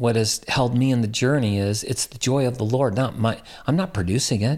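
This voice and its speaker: Medium-pitched male voice, an unremarkable speaking voice with ordinary pitch variation, captured on a very clean recording against a silent background. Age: 60s. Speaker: pastor and guest. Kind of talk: casual interview chat, faith testimony.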